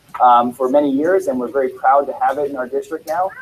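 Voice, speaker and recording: The speech comes very fast with ordinary pitch variation over noticeable background noise. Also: man. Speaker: school district presenter. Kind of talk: presentation at public meeting.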